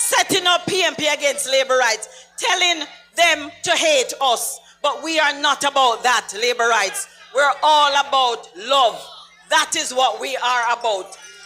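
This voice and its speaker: Music plays in the background. The speaker talks with a Jamaican accent. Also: fairly slow pace. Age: 60s. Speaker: political speaker. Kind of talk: political rally speech. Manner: animated.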